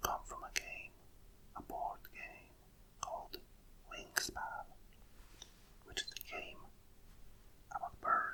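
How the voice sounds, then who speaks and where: Whispering and soft-spoken, this voice moves at a very slow pace with long, frequent pauses. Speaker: ASMR creator. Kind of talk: ASMR card readout, whispered. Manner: whispered, soft.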